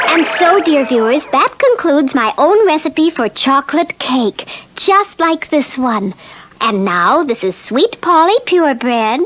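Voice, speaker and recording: In a cartoonish character voice, the speaker goes at a fairly slow pace with very wide pitch swings. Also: female-sounding voice, high pitch for a woman. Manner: sweet, polite.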